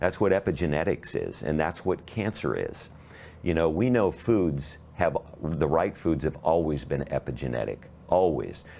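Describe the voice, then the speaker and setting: With a very deep, low pitch and a dark, mellow tone, a man speaks at a moderate pace, showing vocal fry and ordinary pitch variation. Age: 60s. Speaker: cancer health advocate. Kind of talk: interview.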